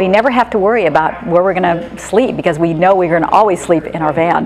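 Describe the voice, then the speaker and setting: Over music in the background, a woman with a fairly low pitch speaks at a very fast pace and ordinary pitch variation. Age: 60s. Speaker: van traveler, customer. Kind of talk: interview testimony. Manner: casual, with fillers.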